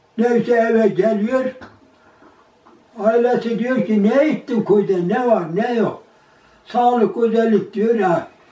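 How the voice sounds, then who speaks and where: In a room with audible echo, a man with an extremely high pitch and ordinary pitch variation talks at a very slow pace with long, frequent pauses. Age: 80s+. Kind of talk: oral history interview answer. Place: home room. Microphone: camera far.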